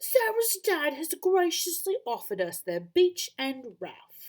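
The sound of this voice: A put-on character voice in a British accent, extremely high in pitch, at a fairly slow pace.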